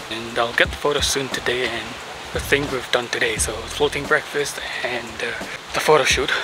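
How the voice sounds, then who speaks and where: Loud background noise surrounds a man speaking at a moderate pace, the sound dry with no echo. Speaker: travel vlogger. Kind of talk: casual vlog chat. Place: beach. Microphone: phone near.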